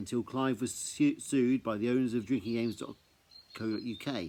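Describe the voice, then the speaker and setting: With an English accent, a man speaks at a medium pitch in a dark, mellow tone. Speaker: amateur storyteller reading his own writing. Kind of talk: reading aloud. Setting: outdoors. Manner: casual with hesitations.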